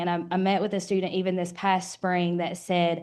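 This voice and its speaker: This woman has an Eastern Kentucky accent. Her tone is dark and mellow. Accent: Eastern Kentucky Appalachian, long i's. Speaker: university program director. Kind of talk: panel discussion.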